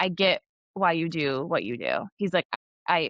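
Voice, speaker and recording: Against a quiet background, a voice with an American accent has a bright, sharp tone and a dry, close sound with no echo. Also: woman. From New York. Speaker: speech pathologist. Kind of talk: casual interview chat. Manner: fast.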